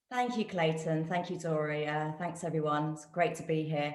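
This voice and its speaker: A woman with a British accent speaks in a very deep, low voice, and the room echo is audible. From UK. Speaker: guest, physiotherapist and nutritionist. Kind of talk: testimony.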